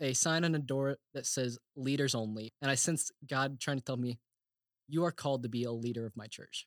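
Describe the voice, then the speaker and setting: A man with an American accent speaks in a normal speaking voice at a fairly high pitch and a moderate pace, with ordinary pitch variation. The sound is dry and close with no echo, on a very clean recording with a silent background. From Oklahoma. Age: 20s. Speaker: theology grad student. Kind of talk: casual chat.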